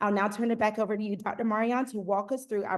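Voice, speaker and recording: A woman at a very fast pace, with a slight Southern US accent. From US South, Eastern North Carolina. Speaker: customer success manager, former principal. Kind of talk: webinar presentation. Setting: online webinar.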